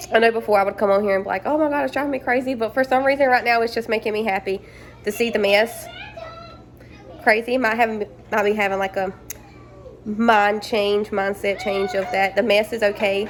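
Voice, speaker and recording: A woman at fairly high pitch and a fairly quick pace, with ordinary pitch variation, long, frequent pauses and noticeable background noise. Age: 20s. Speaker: stay-at-home mom vlogger. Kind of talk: casual vlog talk. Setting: at home. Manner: casual, hesitant with repetitions.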